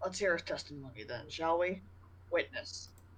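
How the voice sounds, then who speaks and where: A man performs a put-on character voice. Clear background noise runs behind him. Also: moderate pace. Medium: actual play. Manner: slow, measured.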